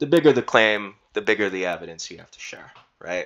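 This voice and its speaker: This man's voice has a bright, sharp tone. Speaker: YouTuber and undergraduate researcher. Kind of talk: unscripted screen-share walkthrough. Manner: halting, stuttering; rambling with fillers.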